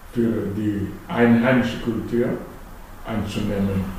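A man with a Malagasy accent speaks very slowly at a medium pitch, with noticeable background noise and audible room echo. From Madagascar. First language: Malagasy (speaking German). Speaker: economist and politician, club member. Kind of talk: casual interview. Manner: halting.

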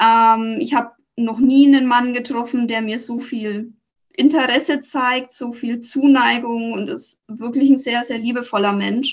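The speech moves at a fairly slow pace with fairly even intonation. Its loudness swings widely. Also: woman, high pitch for a woman. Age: 30s. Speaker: coaching client. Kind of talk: interview. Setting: podcast interview.

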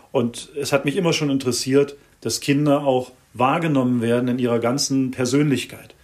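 The clip has an unremarkable speaking voice at a moderate pace with fairly even intonation. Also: man, medium pitch for a man. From Germany. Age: 40s. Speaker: mediator and activist. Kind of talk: interview.

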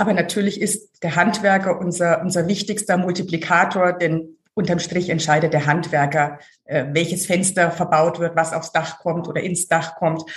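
A woman's somewhat breathy, fairly low voice with a Franconian accent, monotone, flat intonation and a moderate pace. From Franconia, Germany (Hof). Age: 40s. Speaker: marketing director. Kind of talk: interview.

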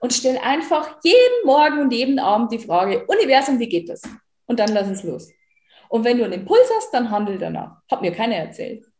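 Animated, lively-sounding delivery with bouncy intonation at a fairly quick clip. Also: woman, high pitch for a woman. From rural German-speaking area, farming background. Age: 30s. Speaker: life and money coach. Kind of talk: interview.

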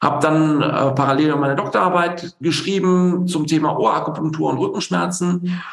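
With audible room echo around him, a man talks at a moderate pace using fairly even intonation. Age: 40s. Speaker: general practitioner and stress medicine doctor. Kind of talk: interview. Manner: hesitant, many fillers.

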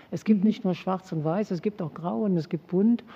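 At a moderate pace and medium pitch, a woman speaks in a plain, everyday voice. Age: 60s. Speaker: sociologist and former athlete. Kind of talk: interview. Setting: studio.

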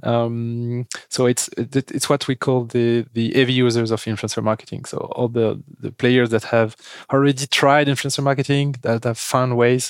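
A man with a French accent, medium in pitch, flat and monotone at a fairly slow pace, in a very clean, dry, close recording with a silent background and no echo. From France. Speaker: company founder and CEO. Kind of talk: interview. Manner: hesitant, many fillers.

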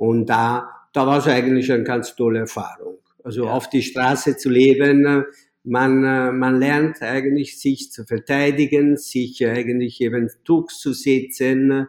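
A man's medium-pitched voice, monotone and flat, at a fairly slow pace. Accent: Italian. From southern Italy, near Naples. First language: Italian (speaking German). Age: 60s. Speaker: restaurateur. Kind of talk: interview. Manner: halting, many repetitions.

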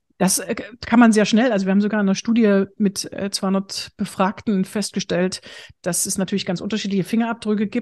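Very fast speech from a woman at medium pitch, dark and mellow in tone, over a quiet background. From eastern Germany, Bitterfeld-Wolfen (Saxony-Anhalt). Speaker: humor trainer and speaker. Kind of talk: interview conversation.

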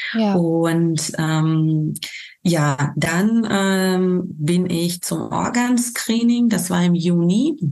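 In a room with audible echo, a woman speaks very slowly with a fairly low pitch, a dark, mellow tone, and ordinary pitch variation. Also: very even loudness. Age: 30s. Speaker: bereaved mother, volunteer with a parent support association. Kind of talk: personal testimony in an interview. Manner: many hesitations and fillers.

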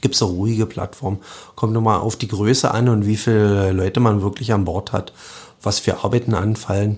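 A somewhat breathy male voice, fairly low in pitch, with monotone, flat intonation. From Lusatia, Brandenburg (Sorbian-Wendish area near Cottbus). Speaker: chef and soup restaurant owner. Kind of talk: casual interview. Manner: hesitant, many fillers.

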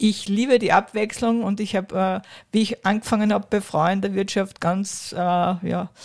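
A plain, everyday voice moves at a moderate pace with fairly even intonation. The recording is very clean, with a silent background. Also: woman. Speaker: business executive. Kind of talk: interview. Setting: historic railway carriage.

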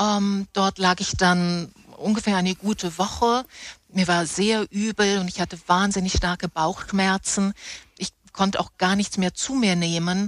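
The delivery is monotone and flat at a fairly slow pace. The sound is dry and close, with no echo. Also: woman, medium pitch for a woman. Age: 50s. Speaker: theatre props master, former travel agency worker. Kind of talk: interview, personal testimony.

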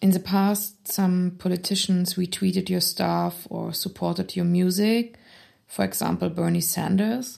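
A woman of medium pitch speaks at a moderate pace in a German accent, her intonation monotone and flat. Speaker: podcast host. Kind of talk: interview. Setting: studio.

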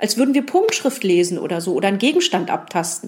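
Somewhat breathy, a woman talks at a fairly quick pace with very wide pitch swings. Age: 40s. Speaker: museum guide. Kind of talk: interview. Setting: museum.

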